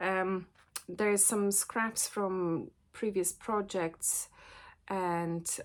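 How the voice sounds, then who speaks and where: Over a silent background in a very clean recording, a woman with a non-native accent talks at a medium pitch and a very slow pace. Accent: noticeable foreign. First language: not English. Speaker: sewing teacher and vlogger. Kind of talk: casual vlog chat. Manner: hesitant, many fillers.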